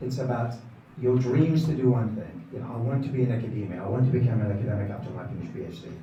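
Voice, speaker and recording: A man speaks at medium pitch and a fairly quick pace. The room echo is audible, and background noise is noticeable. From Iraq. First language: Arabic. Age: 60s. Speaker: professor. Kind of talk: speech.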